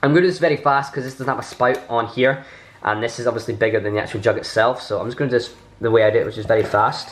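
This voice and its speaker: With a Scottish accent, a man talks at a very fast pace. There is noticeable background noise. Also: medium pitch for a man, ordinary pitch variation. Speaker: YouTuber, bartender. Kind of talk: tutorial.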